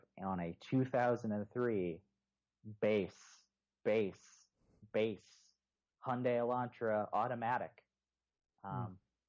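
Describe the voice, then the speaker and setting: Speaking at a very slow pace with an American accent, the voice shows ordinary pitch variation. Long, frequent pauses break it up against a quiet background. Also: man, fairly low pitch for a man. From Texas, Houston. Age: 20s. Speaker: motoring journalist and podcaster. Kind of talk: casual chat.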